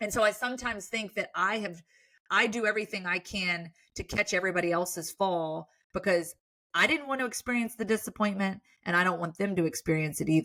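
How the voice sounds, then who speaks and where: A woman speaks loudly at a very fast pace, with a medium pitch and ordinary pitch variation. Her tone is animated, bright and sharp. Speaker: sports broadcaster. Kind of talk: casual chat.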